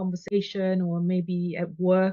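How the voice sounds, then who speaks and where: A woman with a non-native accent and a medium pitch. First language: not English. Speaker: podcast host and business coach. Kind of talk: casual interview chat. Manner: halting, repeated words.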